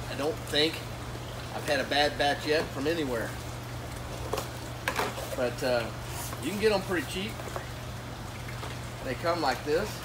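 A man talks at a moderate pace with ordinary pitch variation and long, frequent pauses. Loud background noise runs underneath. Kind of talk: tutorial. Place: farm machine.

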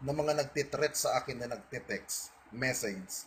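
Noticeable background noise behind a man talking at a moderate rate. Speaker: online video blogger. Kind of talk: monologue to online audience. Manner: defiant.

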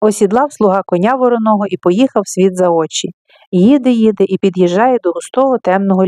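Reading aloud in a natural voice with ordinary pitch variation, over a quiet background

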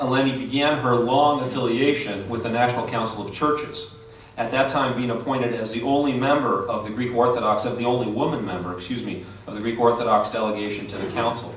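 A man at a very fast pace, fairly even intonation, audible room echo and light background noise. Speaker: event host introducing speaker. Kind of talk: formal introduction speech. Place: hall.

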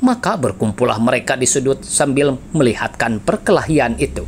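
A man's dramatic delivery at a moderate pace, with noticeable background noise. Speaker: audiobook narrator. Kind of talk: literary audiobook reading, scripted narration of a historical novel. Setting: solo recording for a YouTube channel. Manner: measured, dramatic storytelling, formal and steady; shifts into gruff, mocking tones for dialogue of characters.

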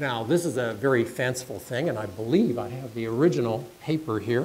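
A man with an unremarkable speaking voice talks at a fairly quick pace and a medium pitch, with ordinary pitch variation and light background noise. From Canada. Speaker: development expert giving a guest lecture. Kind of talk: lecture. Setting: stage with audience.

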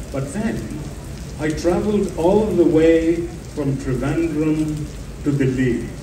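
Speaking very slowly, a man leaves long, frequent pauses, his fairly high voice showing ordinary pitch variation. Noticeable background noise can be heard. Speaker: panel speaker, traveler. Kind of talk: panel discussion at a literary festival. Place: stage.

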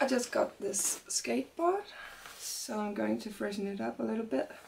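Light background noise sits behind a woman's voice. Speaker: street artist. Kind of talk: tutorial. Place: workshop. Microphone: camera far.

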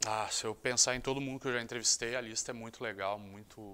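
The speaker here is male. The pitch of his voice varies in an ordinary way. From Rio de Janeiro, Brazil. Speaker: sports journalist. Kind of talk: interview monologue. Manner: casual, conversational. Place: studio. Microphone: lapel.

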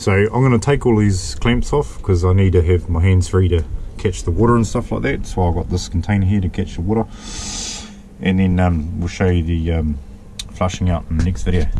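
Light background noise runs under a man's very deep, low voice. He talks fairly quickly with ordinary pitch variation. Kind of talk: tutorial. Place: boat. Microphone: phone near.

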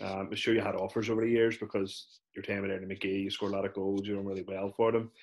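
A man with a Northern Irish accent speaks at a very fast pace with hardly any pauses. His intonation is monotone and flat, and the background is quiet. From Northern Ireland. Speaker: podcast host. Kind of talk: casual interview. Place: home room. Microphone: video call.

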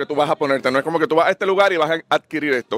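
The sound is dry, with no echo. A man speaks at a fairly high pitch with ordinary pitch variation. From Puerto Rico. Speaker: physician and customer; guest. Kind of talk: event interview. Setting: fashion event. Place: garden. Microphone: handheld.

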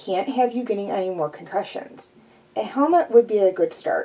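Lively intonation in a natural reading voice

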